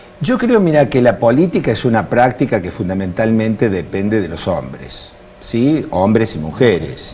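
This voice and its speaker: Noticeable background noise sits behind a man at medium pitch. He talks at a fairly slow pace with lively intonation. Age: 60s. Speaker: politician and university lecturer. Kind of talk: TV interview.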